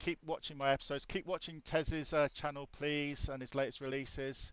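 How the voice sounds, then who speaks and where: A man with a southern English accent talks at a fairly quick pace. His fairly high voice has monotone, flat intonation. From southern England. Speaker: podcast host. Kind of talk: casual chat. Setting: live stream.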